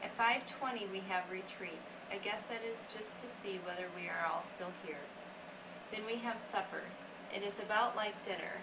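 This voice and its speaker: There is noticeable background noise behind a woman speaking at a moderate pace. Her pitch is medium and her intonation fairly even. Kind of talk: reading a letter aloud.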